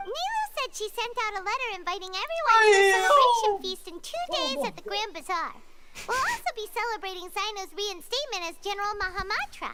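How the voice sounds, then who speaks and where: A squeaky, extremely high put-on character voice speaks at a fairly quick pace. Loud background noise runs underneath. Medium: video game.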